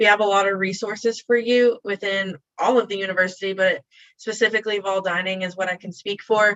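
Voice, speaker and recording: A woman's medium-pitched voice at a fairly quick pace, flat and monotone in intonation. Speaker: university dining staff. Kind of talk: webinar panel answers. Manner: fast.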